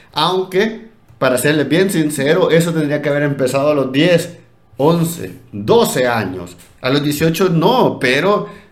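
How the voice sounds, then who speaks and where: Audible room echo surrounds a man speaking at a very slow pace. His pitch is fairly high and his intonation lively. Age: 30s. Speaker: education podcast host. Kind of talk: casual chat.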